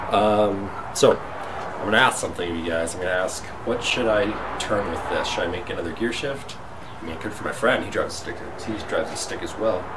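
A man talks at a fairly quick pace. His pitch varies in an ordinary way, and there is noticeable background noise. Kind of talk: casual vlog chat. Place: workshop. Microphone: phone near.

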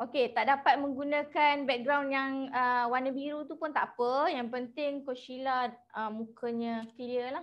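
Her voice is high-pitched and her intonation fairly even. The woman speaks at a fairly slow pace over a quiet background. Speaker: webinar moderator. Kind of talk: casual chat. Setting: video call. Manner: chatty.

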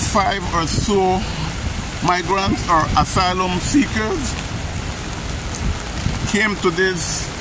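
Speaking at a very slow pace, a man is heard in a dry sound with no echo over noticeable background noise. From Belize. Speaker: channel host. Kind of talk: street news report to camera. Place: street. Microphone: phone near.

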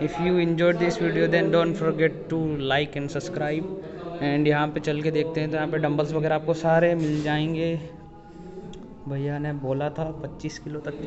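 There's noticeable background noise as a man talks at a moderate pace. His intonation is monotone and flat. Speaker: vlogger. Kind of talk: casual vlog chat. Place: gym. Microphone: phone near.

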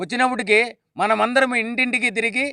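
In a raised, projected voice, a man speaks at an extremely high pitch with a bright, sharp tone. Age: 60s. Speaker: community leader. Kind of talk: public speech.

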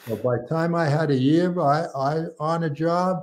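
This man has a high-pitched voice with ordinary pitch variation. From New York. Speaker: retired fire captain; podcast guest. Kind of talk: casual interview. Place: home room.

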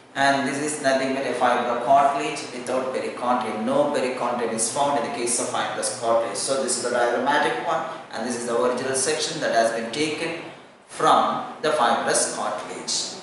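Strong room echo surrounds a man's voice of medium pitch. His tone is fairly bright and his pace fairly quick. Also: ordinary pitch variation.

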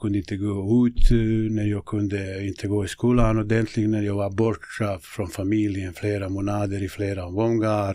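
A man with a Bosnian accent speaks at a moderate pace in a fairly low, dark, mellow voice. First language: Bosnian (speaking Swedish). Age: 50s. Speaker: local politician and football coach. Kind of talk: interview conversation. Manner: halting.

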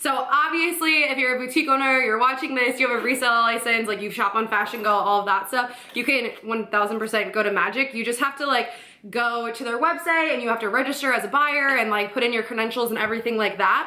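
Talking very fast with hardly any pauses, a woman uses a high voice with ordinary pitch variation, and the room echo is audible. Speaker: boutique owner vlogger. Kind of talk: casual vlog chat. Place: home room.

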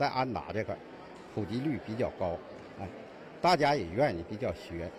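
Very wide swings in pitch from a man, with noticeable noise in the background. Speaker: tai chi student. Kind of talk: testimony.

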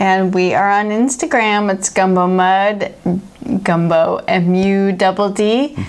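A woman with an American accent and a normal speaking voice talks at a medium pitch and a fairly slow pace, with ordinary pitch variation and very even loudness. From Chicago, US Midwest. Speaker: beer review show co-host, baker; beer review show co-host. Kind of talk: casual beer-tasting chat; reading brewery history aloud. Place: studio.

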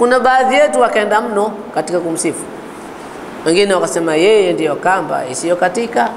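A man speaks with a Swahili accent in a high voice at a fairly quick pace, his pitch swinging very widely. Light noise sits in the background. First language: Swahili (speaking Arabic). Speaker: Islamic teacher. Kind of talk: religious lecture. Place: home room. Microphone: lapel.

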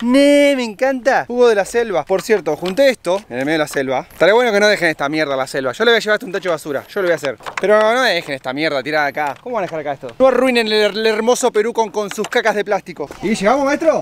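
An upbeat, enthusiastic voice rushes along very fast with hardly any pauses and very wide pitch swings. The sound is dry with no echo, over light background noise. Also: man, high pitch for a man. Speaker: travel vlogger. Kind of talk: casual travel vlog talk to camera. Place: open country. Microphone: phone near.

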